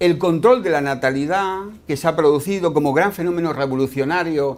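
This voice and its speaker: A man speaks with a high-pitched voice. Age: 60s. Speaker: doctor. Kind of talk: lecture. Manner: halting.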